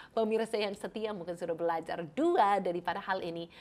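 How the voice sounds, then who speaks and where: A woman's medium-pitched voice in an English accent, at a fairly quick pace with ordinary pitch variation. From Canada. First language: English (speaking Indonesian). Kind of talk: Bible teaching; program introduction. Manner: warm and friendly.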